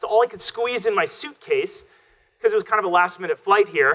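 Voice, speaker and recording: The pitch shows ordinary variation. The pace is fairly quick. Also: man. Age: 30s. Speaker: social media consultant and speaker. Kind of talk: keynote talk. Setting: stage with audience. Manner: loud; fast.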